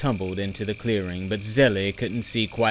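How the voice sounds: The voice reads naturally, with intonation that stays fairly even.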